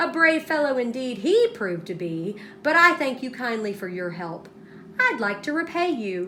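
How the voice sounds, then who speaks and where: A woman's high, put-on character voice with very wide pitch swings, at a moderate pace over clear background noise. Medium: read story. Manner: hot-tempered.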